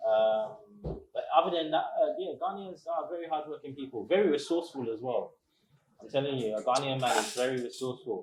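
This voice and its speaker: A man with a strong British accent speaks at a fairly quick pace and a fairly high pitch. His intonation is lively, and his loudness swings widely. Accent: thick accent, English (UK). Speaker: restaurant owner. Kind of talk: interview.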